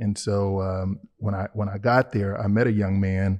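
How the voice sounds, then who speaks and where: The tone is dark and mellow, delivered in a flat monotone. The background is quiet. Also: man. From Chicago, Illinois. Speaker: church member sharing faith story. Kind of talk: testimony interview. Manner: halting, many fillers and repetitions.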